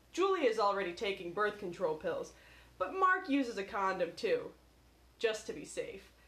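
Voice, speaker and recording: Against noticeable background noise, a woman's fairly high voice swings very widely in pitch. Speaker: podcast co-host. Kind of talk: casual chat.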